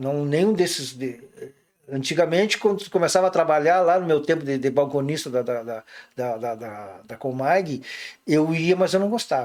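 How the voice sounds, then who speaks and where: A man with a plain, everyday voice talks at a moderate pace, his fairly high pitch carrying lively intonation and big swings in loudness. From southern Brazil, São Gabriel, Rio Grande do Sul. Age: 60s. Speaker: professor and museum curator. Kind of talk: casual interview chat.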